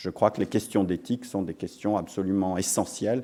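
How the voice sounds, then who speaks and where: The recording is very clean and the background silent. A man talks in a dark, mellow tone. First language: English (speaking French). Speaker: business school dean and professor. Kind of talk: ceremony speech. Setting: lecture hall with audience. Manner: hesitant, many fillers.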